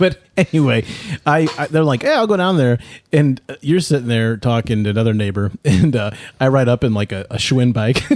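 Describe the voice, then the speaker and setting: Delivery comes at a fairly quick pace. Intonation rises and falls in a lively way. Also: man, medium pitch for a man. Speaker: podcast host. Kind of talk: casual chat. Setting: studio. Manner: fast; animated.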